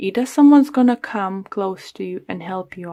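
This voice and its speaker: The woman's voice sits at a medium pitch and has a dark, mellow tone. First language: not English (English is third language). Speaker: tarot reader. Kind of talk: tarot reading to camera. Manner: halting.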